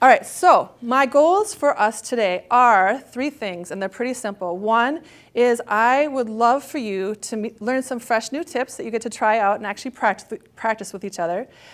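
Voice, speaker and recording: A woman speaks in an animated tone, her voice fairly high, with ordinary pitch variation and hardly any pauses. The recording is very clean, with a silent background. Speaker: author and networking workshop speaker. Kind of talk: motivational talk. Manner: fast.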